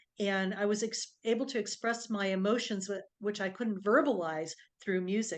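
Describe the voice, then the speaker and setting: A woman speaks at a moderate pace in a normal speaking voice. Her pitch is medium, with ordinary variation. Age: 60s. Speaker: doctor and intuitive healer. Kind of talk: interview, personal story.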